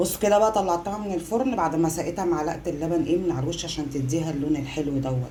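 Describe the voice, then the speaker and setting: A woman speaks very fast in a very deep, low voice. Room echo is audible, and background noise is noticeable. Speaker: home cooking vlogger, mother. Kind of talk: casual cooking vlog. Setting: home kitchen, power cut. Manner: chatty, relaxed.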